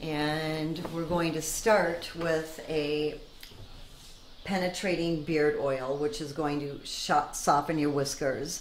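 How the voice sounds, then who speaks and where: A woman's very deep, low voice at a very slow pace, with audible room echo and light background noise. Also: fairly even intonation. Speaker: barber. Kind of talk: instructions to a client during a shave. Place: shop.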